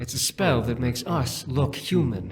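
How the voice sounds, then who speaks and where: A man at medium pitch performs a put-on character voice. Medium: video game. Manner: menacing, mocking.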